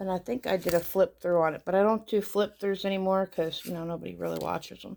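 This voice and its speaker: A woman talks at a very fast pace with fairly even intonation. Her loudness swings widely. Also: medium pitch for a woman. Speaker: tarot YouTuber. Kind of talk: casual show-and-tell video. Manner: hesitant, many fillers.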